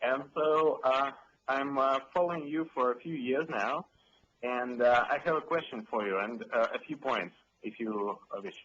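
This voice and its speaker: A man in a Russian accent speaks at a fairly high pitch. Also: ordinary pitch variation, moderate pace. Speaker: caller. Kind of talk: call-in question. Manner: halting, many fillers.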